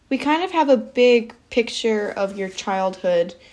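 This woman has an ordinary speaking voice at a fairly high pitch. She speaks at a moderate pace with ordinary pitch variation. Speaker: podcast interviewer. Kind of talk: interview.

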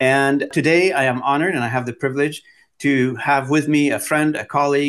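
A man's plain, everyday voice at a medium pitch and moderate pace. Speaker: podcast host. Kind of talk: interview conversation.

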